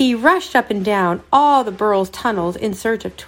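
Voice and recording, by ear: Someone is reading aloud in a natural voice.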